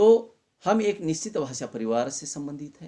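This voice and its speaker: The voice has a dark, mellow tone and a Marathi accent. Its intonation is lively. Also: man. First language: Marathi (speaking Hindi). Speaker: college Hindi lecturer. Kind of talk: lecture.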